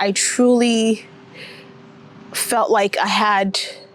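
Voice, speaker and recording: Noticeable background noise sits under a woman's fairly high voice in an American accent. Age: 30s. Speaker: vlogger. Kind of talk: personal vlog monologue. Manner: reflective, conversational.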